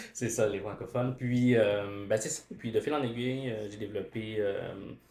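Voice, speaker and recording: A man speaks at medium pitch and a moderate pace in a dark, mellow tone. His voice is somewhat breathy, with fairly even intonation. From Quebec, Montreal. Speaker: education student and teacher. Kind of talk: casual chat. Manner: halting, many hesitations.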